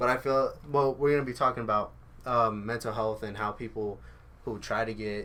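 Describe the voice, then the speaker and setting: A normal speaking voice from a man, fairly low in pitch, at a fairly quick pace with fairly even intonation. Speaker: podcast host. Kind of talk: casual chat. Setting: studio.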